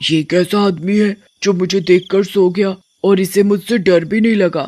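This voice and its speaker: A man does a cartoonish character voice. It sits high in pitch and moves at a moderate pace. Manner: menacing but gullible.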